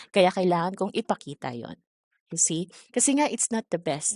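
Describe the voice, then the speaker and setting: Against a quiet background, a woman with a medium pitch speaks at a fairly quick pace with very wide pitch swings. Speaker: ESL teacher trainer. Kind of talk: online training session. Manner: calm, soft-spoken.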